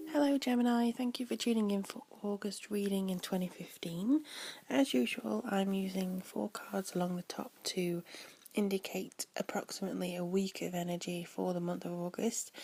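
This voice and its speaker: Somewhat breathy and medium in pitch, a woman speaks at a moderate pace with lively intonation. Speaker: tarot reader. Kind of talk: tarot reading forecast.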